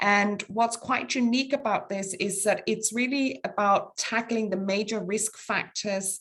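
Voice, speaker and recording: The speaker talks at a fairly slow pace with a Danish accent. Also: woman, fairly high pitch for a woman, ordinary pitch variation. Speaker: international public health official. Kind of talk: webinar presentation. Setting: webinar. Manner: hesitant, many fillers.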